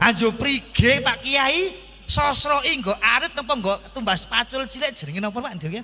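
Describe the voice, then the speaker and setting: A man's raised, projected voice in an animated tone, at a fairly slow pace, over noticeable background noise. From Central Java, Kendal/Temanggung. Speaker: Islamic preacher. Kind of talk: sermon. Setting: stage with audience, PA system.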